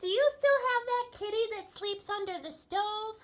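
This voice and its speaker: A woman puts on a character voice with extremely high pitch. It sounds shrill and squeaky. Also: moderate pace. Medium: read story. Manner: screechy.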